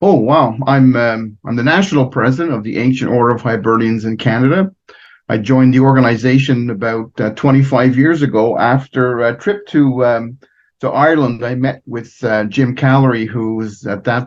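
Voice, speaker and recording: Moderate pace and ordinary pitch variation in a Montreal accent. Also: man. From Quebec, Montreal. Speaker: fraternal organization president. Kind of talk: interview. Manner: halting.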